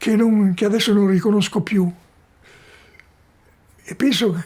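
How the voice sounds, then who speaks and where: The man's voice is high-pitched, with a dark, mellow tone. He speaks at a fairly slow pace with ordinary pitch variation. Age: 80s+. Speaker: philosopher. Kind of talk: documentary interview answer. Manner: reflective, slow.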